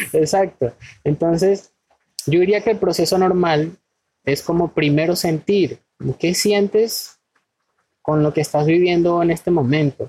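A man talks at a fairly slow pace in a high pitch, with a dark, mellow tone, ordinary pitch variation and very even loudness. Long pauses come often. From Venezuela. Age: 30s. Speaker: spiritual wellness guest. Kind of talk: casual interview.

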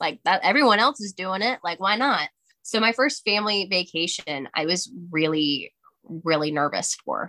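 Bright and sharp in tone, the voice moves at a moderate pace with lively intonation, recorded dry and close with no echo. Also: woman, medium pitch for a woman. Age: 20s. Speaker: sobriety advocate. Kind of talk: casual chat.

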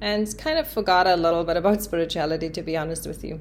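A woman talks with ordinary pitch variation in a space with audible room echo. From South Africa, Cape Town. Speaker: spiritual coach and yoga teacher. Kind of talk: podcast monologue.

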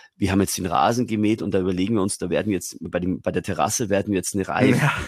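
At a very fast pace, a man speaks with a very deep, low pitch and fairly even intonation. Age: 40s. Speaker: radio presenter and communication coach. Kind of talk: casual chat. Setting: video call.

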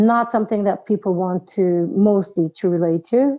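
Using a plain, everyday voice, a woman talks at a moderate pace and a medium pitch with fairly even intonation. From New York (raised), born in Israel. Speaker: dancer and choreographer. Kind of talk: interview.

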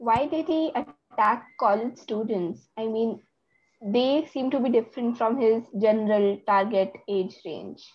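Fairly slow and fairly high-pitched, a woman talks with ordinary pitch variation. Hers is a plain, everyday voice. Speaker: podcast host. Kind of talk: interview questions, casual conversation. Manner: curious, reactive, polite.

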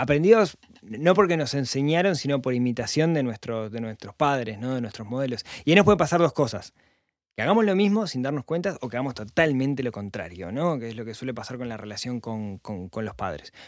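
In a very clean recording with a silent background, a man at medium pitch talks at a fairly quick pace, with very wide pitch swings and big swings in loudness. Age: 40s. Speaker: personal finance podcaster. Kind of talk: casual interview chat.

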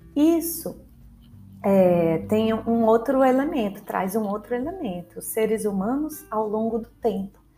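A woman speaks at a fairly slow pace with lively intonation and a fairly high pitch. Audible room echo surrounds her voice. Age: 30s. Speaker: history teacher. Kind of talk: educational podcast lecture. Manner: casual, conversational with fillers.

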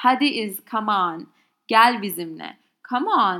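In a Turkish accent, a woman with a medium pitch speaks with lively intonation and a bright, sharp tone on a very clean recording with a silent background. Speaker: language teacher podcaster. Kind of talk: tutorial. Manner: halting.

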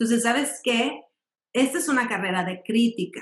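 Here a woman with an ordinary speaking voice talks at a moderate pace, her fairly high pitch carried by lively intonation. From Mexico, raised in Mexico City and Monterrey. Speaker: ballet dancer and company director. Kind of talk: interview.

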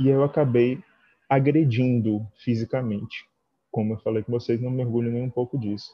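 Somewhat breathy, a man speaks at a medium pitch and a moderate pace. His intonation stays fairly even. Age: 30s. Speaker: dance teacher. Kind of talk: online talk with discussion.

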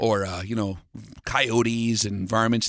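This man speaks with an Upper Midwest accent. His intonation is fairly even. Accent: Upper Midwest American. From US, North Dakota. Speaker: long-range shooting instructor. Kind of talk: interview.

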